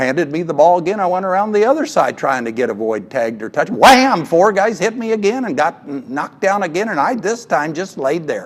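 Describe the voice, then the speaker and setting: A man with an American accent talks at a fairly quick pace. His pitch is high and swings very widely. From US Midwest, Washington County, Kansas. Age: 70s. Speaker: retired coach. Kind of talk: banquet speech with anecdotes.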